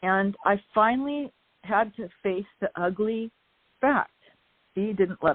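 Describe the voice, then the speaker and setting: Pausing long and often, a woman of medium pitch speaks at a very slow pace with ordinary pitch variation and big swings in loudness. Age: 60s. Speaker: author. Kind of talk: casual chat.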